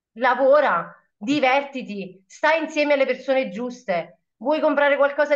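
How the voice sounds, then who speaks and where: A woman at high pitch and a moderate pace, animated in tone, with ordinary pitch variation, over a quiet background. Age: 30s. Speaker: shop assistant and network marketer. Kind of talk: testimony. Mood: enthusiastic, motivational. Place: home room. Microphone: webcam.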